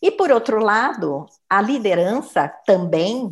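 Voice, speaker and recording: On a very clean recording with a silent background, a woman with a medium pitch makes very wide pitch swings. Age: 60s. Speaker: human resources professional. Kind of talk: interview.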